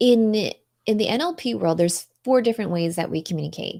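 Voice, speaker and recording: The speaker talks at a fairly quick pace in a dark, mellow tone with ordinary pitch variation. The recording is very clean, with a silent background. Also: woman. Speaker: marketing and communication expert, NLP coach. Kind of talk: interview on a live show. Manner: fast; animated.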